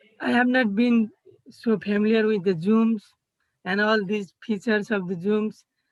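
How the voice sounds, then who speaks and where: With a Nepali accent, a woman speaks at a fairly high pitch and a fairly slow pace. Her intonation stays fairly even. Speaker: college student intern. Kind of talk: presentation. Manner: halting.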